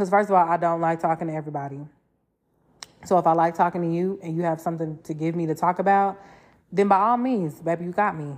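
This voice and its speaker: At a very fast pace, a woman with an American accent talks in an animated tone at a fairly low pitch. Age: 20s. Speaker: podcast host. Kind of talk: casual monologue.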